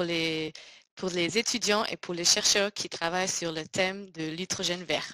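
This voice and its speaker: In a German accent, the speaker talks at a very slow pace with a bright, sharp tone and fairly even intonation, in a dry, close sound with no echo. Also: woman. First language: German (speaking French). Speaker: scholarship program presenter. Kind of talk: online information seminar presentation. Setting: online webinar. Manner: halting, many hesitations.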